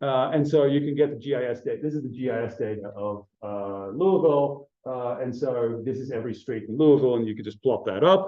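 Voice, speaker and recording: A room echo is audible as a man at medium pitch talks fairly quickly, with ordinary pitch variation. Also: hardly any pauses. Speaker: astronomy researcher giving a talk. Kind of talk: conference talk. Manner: hesitant, many fillers.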